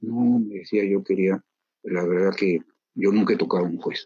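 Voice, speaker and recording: Here a man with an ordinary speaking voice talks at a moderate pace with ordinary pitch variation. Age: 60s. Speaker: judge. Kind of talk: interview.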